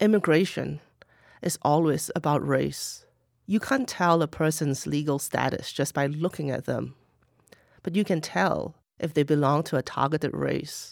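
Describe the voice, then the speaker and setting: A woman's very deep, low voice with vocal fry and ordinary pitch variation, on a very clean recording with a silent background. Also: moderate pace. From Singapore. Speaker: author. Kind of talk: interview. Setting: studio.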